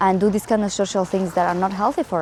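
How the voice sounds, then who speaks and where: A medium-pitched woman's voice against noticeable background noise. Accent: Spanish. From Spain. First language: Spanish. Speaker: travel vlogger. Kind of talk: casual reflective vlog talk. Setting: outdoors in a park. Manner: halting, with fillers and restarts.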